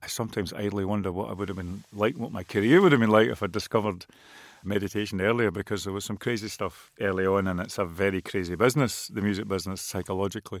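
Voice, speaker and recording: On a very clean recording with a silent background, a man with a Scottish accent speaks at a very fast pace, fairly low in pitch with fairly even intonation. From west of Scotland. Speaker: musician and writer. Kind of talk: interview.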